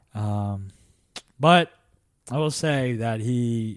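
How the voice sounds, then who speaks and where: On a very clean recording with a silent background, a man with an American accent speaks at a medium pitch with ordinary pitch variation, a normal speaking voice. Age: 20s. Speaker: stand-up comedian. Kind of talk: casual chat.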